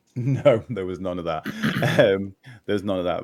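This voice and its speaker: A man talks with a Liverpool accent at a moderate pace. His pitch varies in an ordinary way, with music playing in the background. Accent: Scouse (Liverpool). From Liverpool, England. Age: 40s. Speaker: podcast guest. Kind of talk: casual chat. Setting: live stream podcast. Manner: halting, many restarts.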